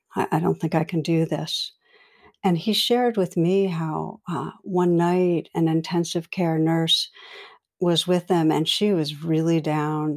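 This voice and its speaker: A woman's fairly low voice at a moderate pace, fairly even in intonation, on a very clean recording with a silent background. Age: 60s. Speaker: meditation teacher and clinical psychologist. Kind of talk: interview conversation. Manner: gentle.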